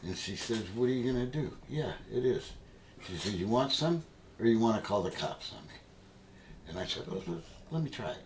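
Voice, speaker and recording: A man with a medium pitch uses lively intonation at a fairly quick pace, leaving long, frequent pauses. Audible room echo surrounds his voice. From New England. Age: 70s. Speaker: hemp activist. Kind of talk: interview.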